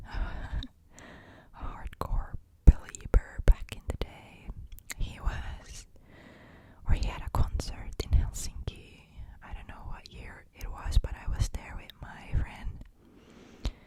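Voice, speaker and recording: A woman whispers very slowly while noticeable background noise carries on. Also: big swings in loudness. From Finland. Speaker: ASMR creator. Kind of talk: close-up whispered ASMR talk to camera. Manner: whispered, soft-spoken, relaxing.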